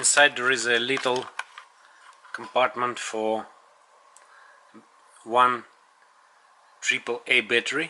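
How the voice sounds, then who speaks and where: Over noticeable background noise, a man with a Russian accent speaks at medium pitch and a very slow pace, in monotone, flat intonation with long, frequent pauses. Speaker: tech reviewer. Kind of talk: product review. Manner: halting.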